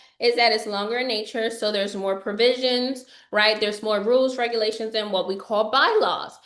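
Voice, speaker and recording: The room echo is audible as a woman speaks. Her pitch is fairly high and her intonation fairly even. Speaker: financial educator. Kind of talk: webinar lecture. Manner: fast.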